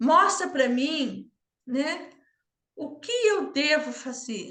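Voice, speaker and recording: A woman's raised, projected voice carries a bright, sharp tone against audible room echo. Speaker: systemic mentor and home harmony teacher. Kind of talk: online class talk.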